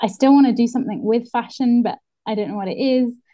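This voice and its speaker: Her voice has a somewhat breathy quality. The woman keeps her intonation fairly even. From northeast England. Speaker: illustrator and muralist. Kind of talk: casual interview.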